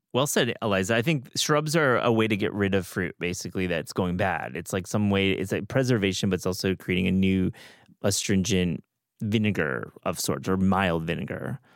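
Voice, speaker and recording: Speaking at a moderate pace with an American accent, a man uses a very deep, low pitch, vocal fry and lively intonation. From US Midwest, Michigan. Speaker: podcast host. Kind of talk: casual chat.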